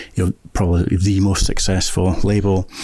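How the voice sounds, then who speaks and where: In a Scottish accent, a man with a very deep, low pitch speaks in a flat monotone, his tone dark and mellow, the sound dry with no echo. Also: quiet background. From Scotland, Fife; Scotland. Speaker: filmmaker and author; guest. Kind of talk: casual chat. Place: studio. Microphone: studio mic.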